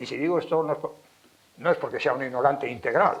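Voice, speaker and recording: A man speaks at a fairly quick pace with a Castilian accent, and audible room echo surrounds his voice. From Spain, Valladolid (Castile). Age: 70s. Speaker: lecturer, philologist and writer. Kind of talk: public lecture. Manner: animated, emphatic.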